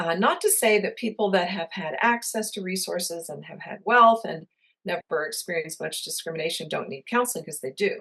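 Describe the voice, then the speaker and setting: Here a woman talks at a fairly quick pace, her loudness swinging widely. Her medium pitch carries ordinary variation and a bright, sharp tone. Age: 60s. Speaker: counselor and professor. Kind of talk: interview. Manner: hesitant with fillers.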